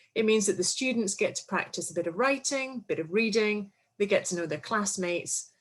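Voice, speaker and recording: Speaking at a fairly quick pace in a Scottish accent, a woman with a medium pitch sounds somewhat breathy and uses very wide pitch swings. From Scotland. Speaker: English teaching presenter. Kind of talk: webinar presentation. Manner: animated.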